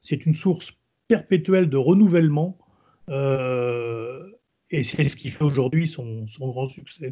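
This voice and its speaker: Very slowly, a man speaks in a fairly high, somewhat breathy voice with ordinary pitch variation. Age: 60s. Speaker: retired army general and wine expert. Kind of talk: interview.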